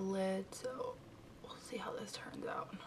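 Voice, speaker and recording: A soft-spoken woman at a moderate pace, with noticeable background noise. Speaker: beauty vlogger. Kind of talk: tutorial. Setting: bedroom at home.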